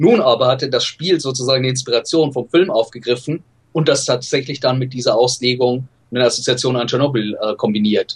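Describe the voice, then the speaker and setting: A man speaks at a medium pitch, somewhat breathy. His pace is fairly quick, with ordinary pitch variation. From Bavaria, Germany (Regensburg). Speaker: film scholar. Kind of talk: casual interview.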